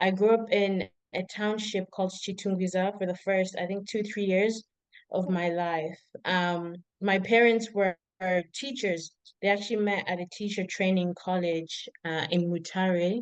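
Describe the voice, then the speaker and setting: A woman speaks with a Zimbabwean accent. Her pace is fairly slow. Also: medium pitch for a woman, fairly even intonation. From Zimbabwe, then Ireland. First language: Shona. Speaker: PhD researcher. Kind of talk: casual interview.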